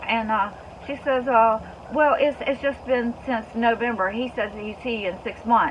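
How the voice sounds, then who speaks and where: The talking keeps a moderate speed and fairly even intonation while noticeable background noise is heard. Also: woman, fairly high pitch for a woman. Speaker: homestead vlogger, breast cancer patient. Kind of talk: personal vlog update. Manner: halting, repetitive.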